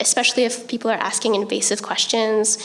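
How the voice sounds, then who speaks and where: Soft-spoken, a woman with a fairly high pitch talks over noticeable background noise. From Vancouver area, western Canada. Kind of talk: panel presentation. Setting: conference stage with audience. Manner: hesitant, many ums.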